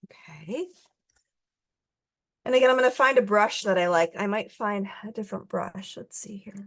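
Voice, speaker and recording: At a moderate pace, the speaker talks with vocal fry and lively intonation. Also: woman. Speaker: art instructor. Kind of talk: tutorial.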